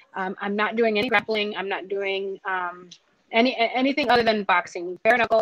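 This woman has an unremarkable speaking voice, fairly high in pitch, with fairly even intonation and a dry, close sound with no echo. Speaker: professional fighter. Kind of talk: casual interview.

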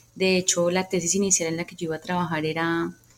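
The speaker has a normal speaking voice and moves at a fairly quick pace. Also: woman. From Colombia, Cali. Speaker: speech therapist and music therapist. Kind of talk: interview.

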